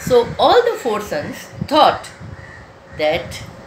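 Noticeable background noise is present. A woman talks at a very slow pace. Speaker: storyteller. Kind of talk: storytelling. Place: home room. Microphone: phone near.

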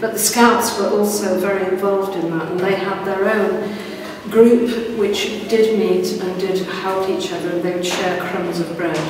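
The speech comes at a moderate pace in a monotone, flat intonation, with noticeable background noise and strong room echo. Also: woman. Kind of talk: interview answer. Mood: serious, earnest. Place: hall. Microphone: camera far.

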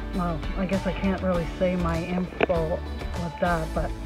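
Faint music plays behind a woman who talks at a fairly slow pace, and the sound is dry with no echo. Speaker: homestead vlogger. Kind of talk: casual vlog chat. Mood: relaxed, a bit exasperated. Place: car. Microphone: phone near.

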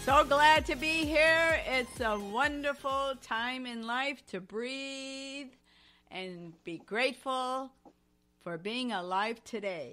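Projecting a raised voice at a very slow pace, a woman speaks in a high pitch with a bright, sharp tone, lively intonation and big swings in loudness. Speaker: talk show host. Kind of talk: podcast interview host talk.

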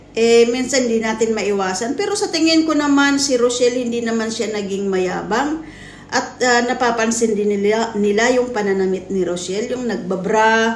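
A woman talks at a moderate pace and a fairly high pitch with ordinary pitch variation, with audible room echo and noticeable background noise. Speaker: vlogger. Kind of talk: reaction video commentary. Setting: talking to camera at home. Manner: halting.

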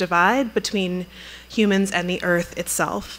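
A woman talks at a moderate pace with monotone, flat intonation. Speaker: museum curator introducing a lecture. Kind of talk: introductory speech. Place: hall. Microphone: podium.

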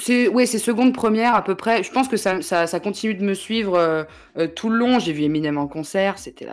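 This woman has a normal speaking voice at a medium pitch. She goes at a moderate pace with lively intonation. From Paris region, Yvelines. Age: 20s. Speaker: journalist and web creator. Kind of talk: casual chat. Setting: livestream.

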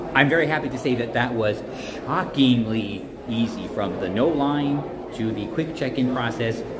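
With noticeable background noise behind him, the man keeps a moderate pace and ordinary pitch variation. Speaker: travel vlogger. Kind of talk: casual vlog chat. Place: station. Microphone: phone near.

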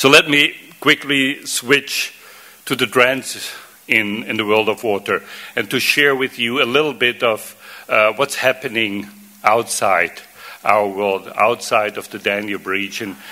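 The pitch varies in an ordinary way. A man delivers it at a fairly slow pace. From Austria (Vienna). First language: German. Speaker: water association executive; conference speaker. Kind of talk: conference presentation. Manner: halting, many fillers and repetitions. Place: hall. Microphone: podium.

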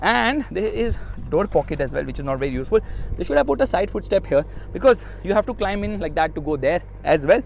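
A man speaks very fast in a high pitch, with very wide pitch swings. The sound is dry with no echo, over light background noise. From India. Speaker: car reviewer vlogger. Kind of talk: car review vlog. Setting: in a car. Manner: animated. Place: car. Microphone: phone near.

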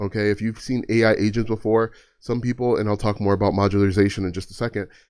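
A man speaks at a fairly quick pace, his pitch varying in an ordinary way. Nothing much sounds behind him. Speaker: content creator explaining automation. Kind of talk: tutorial. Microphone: studio mic.

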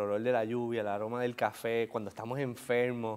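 Speaking with a Puerto Rican accent, a man talks at medium pitch. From Puerto Rico. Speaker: author and entrepreneur. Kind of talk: interview. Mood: warm, smiling, grateful. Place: studio. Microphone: lapel.

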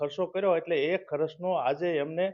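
This is a man speaking. His pitch is high. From Gujarat, Botad district village. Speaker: village resident. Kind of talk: interview.

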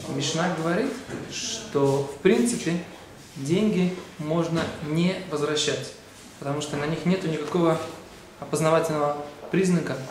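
Speech with long, frequent pauses and ordinary pitch variation comes through audible room echo and noticeable background noise. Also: man, fairly high pitch for a man. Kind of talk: short religious video lecture. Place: church.

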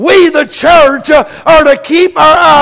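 A man with an American accent, extremely high in pitch, at a very slow pace. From United States. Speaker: preacher. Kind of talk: sermon. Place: church. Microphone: lapel.

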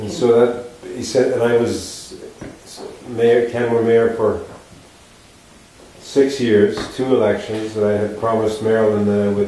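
In strong room echo, a dark, mellow tone with little pitch movement breaks into long, frequent pauses. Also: man, fairly low pitch for a man, fairly slow pace.

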